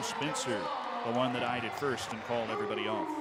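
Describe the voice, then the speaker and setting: A man's very fast, excited, energetic delivery at medium pitch, over noticeable background noise. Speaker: sports play-by-play commentator. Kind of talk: live sports play-by-play.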